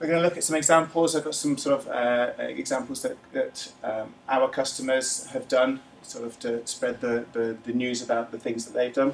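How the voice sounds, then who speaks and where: A man with a fairly high voice and ordinary pitch variation talks fairly quickly against noticeable background noise. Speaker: corporate analytics presenter. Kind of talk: business presentation. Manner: fast.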